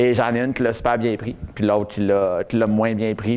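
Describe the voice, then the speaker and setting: A man with a Quebec accent at a moderate pace. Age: 30s. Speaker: testimonial speaker. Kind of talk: public talk. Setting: stage with audience. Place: meeting room. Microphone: lapel.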